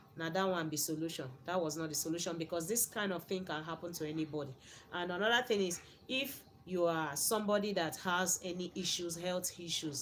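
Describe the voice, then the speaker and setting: A woman with a Nigerian accent talks at a fairly quick pace in a fairly low voice, with ordinary pitch variation. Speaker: YouTuber reacting to a video. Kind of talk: video commentary. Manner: repetitive.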